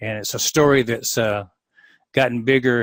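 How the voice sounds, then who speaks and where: With a Southern US accent, a man of medium pitch talks at a fairly quick pace and fairly even intonation, on a very clean recording with a silent background and a dry, close sound with no echo. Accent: Southern US (Georgia). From US South, Atlanta, Georgia. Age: 60s. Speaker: dentist and practice consultant. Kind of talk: podcast interview.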